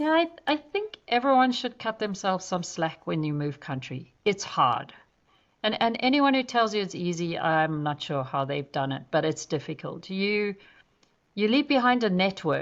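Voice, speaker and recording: In a quiet background, a woman talks at a moderate pace and medium pitch with very wide pitch swings. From South Africa (Johannesburg, Durban). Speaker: zoo chief executive, conservationist. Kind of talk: podcast interview. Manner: direct.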